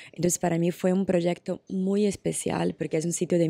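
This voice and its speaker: Speaking with a Portuguese accent, a woman uses a fairly low, dark, mellow voice at a moderate pace with monotone, flat intonation, heard dry with no echo over a quiet background. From Brazil. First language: Portuguese (speaking Spanish). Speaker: actress; actress interviewee. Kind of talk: interview. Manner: hesitant with many fillers. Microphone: handheld.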